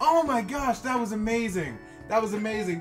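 Clear background music under a man's voice at a moderate pace. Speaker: youtuber. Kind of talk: casual reaction video chat. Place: home room. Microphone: webcam.

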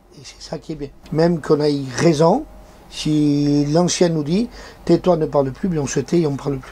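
At a moderate pace, a man with a fairly high pitch and a dark, mellow tone speaks with fairly even intonation.

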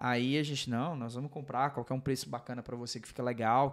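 Against a quiet background, a man uses an ordinary speaking voice at medium pitch, talking at a fairly quick pace with fairly even intonation. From Brazil. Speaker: podcast host. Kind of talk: casual interview chat. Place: studio. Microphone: studio mic.

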